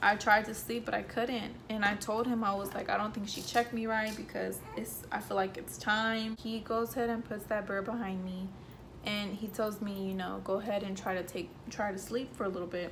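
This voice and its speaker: A woman's monotone, flat delivery at a moderate pace with noticeable background noise. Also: medium pitch for a woman. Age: young. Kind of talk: casual story time to camera.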